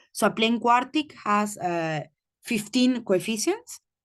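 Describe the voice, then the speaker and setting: Set against a quiet background, a woman with an ordinary speaking voice talks at a fairly high pitch with ordinary pitch variation. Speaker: mathematician, seminar speaker. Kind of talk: lecture.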